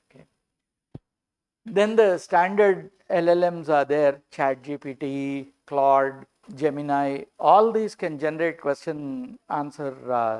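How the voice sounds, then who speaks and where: A very slow delivery in an Indian accent. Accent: Indian English, Telugu. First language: Telugu. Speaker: computer science lecturer. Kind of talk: lecture. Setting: live-streamed online workshop.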